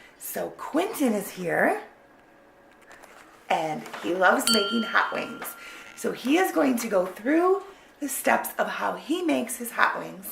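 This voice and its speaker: Amid noticeable background noise and audible room echo, a woman speaks at a fairly high pitch with very wide pitch swings, a very slow pace, and long, frequent pauses. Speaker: family vlogger, mother. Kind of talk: casual vlog intro.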